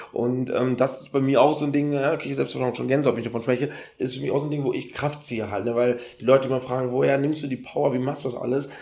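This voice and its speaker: Over noticeable background noise, a man rushes along at a very fast pace in a medium pitch and a monotone, flat intonation. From Ghana. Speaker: event organizer and triathlete. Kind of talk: casual interview.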